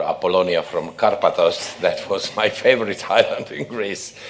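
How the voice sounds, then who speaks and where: A man keeps a moderate pace while audible room echo and noticeable background noise fill the recording. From Croatia. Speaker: obstetrics professor and session chair. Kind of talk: conference session introduction.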